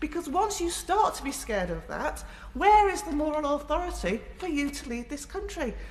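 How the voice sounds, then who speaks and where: A woman's high-pitched voice with very wide pitch swings at a moderate pace, amid noticeable background noise. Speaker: member of parliament. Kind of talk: parliamentary debate speech. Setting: parliament chamber.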